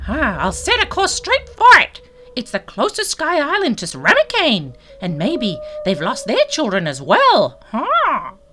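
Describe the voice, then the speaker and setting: Over music in the background, a put-on character voice at an extremely high pitch speaks at a moderate pace. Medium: audio drama. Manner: chatty, ends lines with huh.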